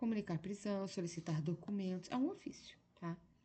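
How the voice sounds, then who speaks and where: Soft-spoken and somewhat breathy, the voice has a dark, mellow tone and ordinary pitch variation. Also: woman. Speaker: exam-prep teacher. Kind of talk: lecture. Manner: soft-spoken, speaking low at 1am; slow.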